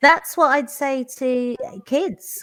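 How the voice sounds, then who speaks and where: With a London accent, a woman talks at a high pitch using lively intonation. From London, England. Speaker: teacher. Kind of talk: live online panel chat.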